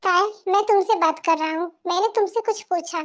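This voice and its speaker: A woman's put-on character voice, squeaky and extremely high in pitch, at a moderate pace with ordinary pitch variation. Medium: audio drama. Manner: earnest, protective.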